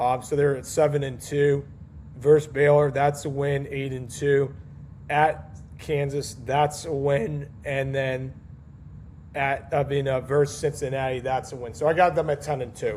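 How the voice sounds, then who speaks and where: At a fairly slow pace, a man with a fairly high pitch speaks in a monotone, flat intonation and sounds somewhat breathy. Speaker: college football podcast host. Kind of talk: casual solo podcast, predictions. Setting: home recording at night, baby asleep nearby. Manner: hesitant, many fillers.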